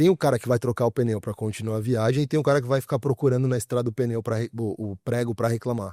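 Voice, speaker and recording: A man with a strong São Paulo accent talks very fast at a medium pitch in a dark, mellow tone. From Brazil, São Paulo. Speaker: growth and AI specialist. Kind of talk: podcast interview. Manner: casual, colloquial.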